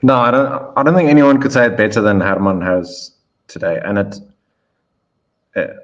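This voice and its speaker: A man's medium-pitched voice with lively intonation, long frequent pauses and audible room echo. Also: moderate pace. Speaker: policy analyst. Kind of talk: political discussion show.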